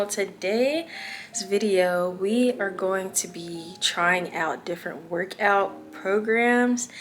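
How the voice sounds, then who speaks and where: There is noticeable background noise behind a woman at a medium pitch. She speaks very slowly with ordinary pitch variation. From Louisiana. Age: 20s. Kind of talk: casual vlog talk to camera.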